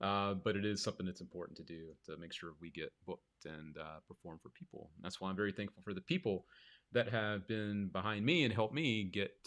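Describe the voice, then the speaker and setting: In an American accent, a plain, everyday voice talks at a fairly quick pace with ordinary pitch variation against a quiet background. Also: man. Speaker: magician and live show host. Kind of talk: livestream chat.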